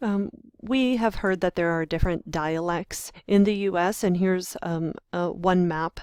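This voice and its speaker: Recorded very cleanly with a silent background, the dry, close sound with no echo carries speech at a fairly slow pace. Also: woman. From US, Western Pennsylvania. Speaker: university lecturer in linguistics. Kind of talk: lecture screencast. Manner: hesitant, many fillers.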